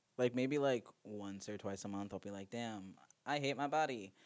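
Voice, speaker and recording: With a plain, everyday voice, a man talks at a moderate pace, his pitch fairly low and varying in an ordinary way. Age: 20s. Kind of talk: casual chat.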